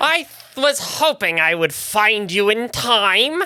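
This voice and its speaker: A man's put-on character voice, high-pitched for a man, with very wide pitch swings, very even loudness and a fairly slow pace. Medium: actual play. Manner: cryptic, ominous.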